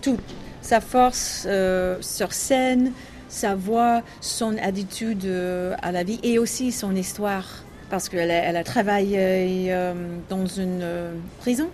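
A woman with an English accent speaks at a very slow pace in a medium pitch, leaving long, frequent pauses, with ordinary pitch variation. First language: English (speaking French). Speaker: jazz singer. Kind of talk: interview. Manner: halting, with many hesitations.

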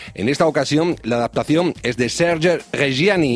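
This man has a plain, everyday voice pitched fairly high. He keeps a moderate pace and ordinary pitch variation. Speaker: radio host. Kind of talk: radio presentation in Spanish, scripted intro. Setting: radio studio. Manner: formal, measured.

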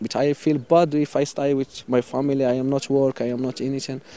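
A man in a Moroccan accent speaks at a moderate pace and medium pitch, with monotone, flat intonation. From Western Sahara, Morocco. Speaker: migrant. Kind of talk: interview. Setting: outdoors. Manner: halting.

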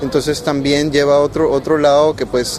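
Noticeable background noise and audible room echo surround a man whose fairly high voice moves at a moderate pace. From Panama. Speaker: youth climate negotiator. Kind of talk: interview. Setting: conference venue.

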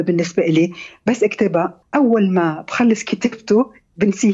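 The woman has an ordinary speaking voice, ordinary pitch variation, and a fairly slow pace. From Lebanon, Beirut. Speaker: novelist and architect. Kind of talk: radio interview.

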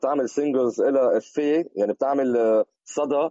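A man talks in a normal speaking voice at medium pitch. His pitch varies in an ordinary way. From Lebanon. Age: 40s. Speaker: hip hop DJ and producer. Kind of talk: interview.

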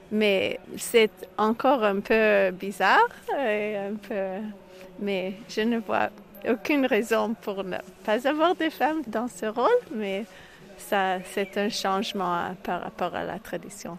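A woman talks at a very slow pace with long, frequent pauses. Her pitch is fairly high, with ordinary variation. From Quebec (Montreal). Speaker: rabbi. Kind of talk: interview. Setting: outdoors.

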